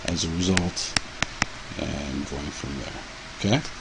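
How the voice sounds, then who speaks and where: A man speaks with lively intonation amid audible room echo and noticeable background noise. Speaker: chemistry teacher. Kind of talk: lecture. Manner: halting.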